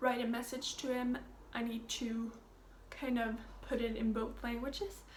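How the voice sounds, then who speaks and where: A woman's high voice at a fairly slow pace, with audible echo from the room. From Sweden. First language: Swedish. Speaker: au pair vlogger. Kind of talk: casual vlog update. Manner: hesitant, many fillers.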